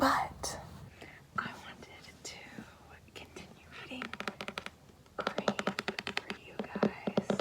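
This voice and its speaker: Through noticeable background noise, a whispered voice moves very slowly, broken by long, frequent pauses. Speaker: ASMR creator. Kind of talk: casual talk to camera.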